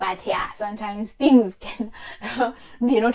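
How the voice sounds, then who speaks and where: A woman with a non-native accent and fairly even intonation, over noticeable background noise. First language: not English. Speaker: chartered accountant giving career advice. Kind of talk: tutorial. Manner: casual, hesitant with many fillers.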